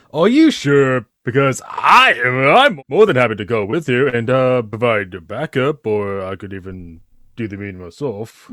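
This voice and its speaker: A put-on character voice with lively intonation, big swings in loudness and hardly any pauses. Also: man, medium pitch for a man, moderate pace. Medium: audio drama. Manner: hesitant, filler-heavy, smarmy.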